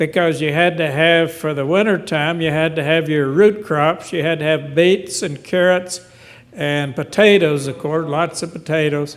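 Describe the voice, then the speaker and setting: A man's fairly high voice holds fairly even intonation at a moderate pace, with noticeable background noise behind him. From western North Carolina. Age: 80s+. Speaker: audience member. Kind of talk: Q&A comment. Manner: halting.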